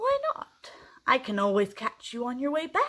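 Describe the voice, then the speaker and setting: Bellowing in a put-on character voice, the speaker holds a high pitch at a moderate pace. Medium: read story. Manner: roaring, menacing.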